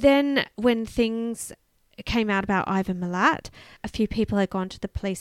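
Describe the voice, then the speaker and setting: Woman with an Australian accent, moderate pace, ordinary pitch variation, very clean recording with a silent background. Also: dry, close sound with no echo. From Canberra, Australia. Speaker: podcast co-host. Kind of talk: true crime storytelling; casual chat.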